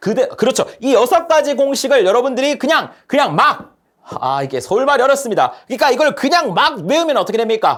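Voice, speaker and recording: Hardly any pauses break up the speech. It moves at a fairly quick pace. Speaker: lecturer. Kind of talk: lecture.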